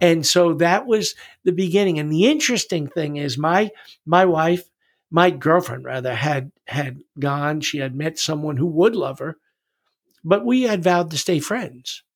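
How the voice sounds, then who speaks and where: A man with an American accent speaks at a moderate pace in an unremarkable speaking voice. His pitch is fairly high, with ordinary variation. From New York City. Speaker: retired wrestling coach. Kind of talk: testimony.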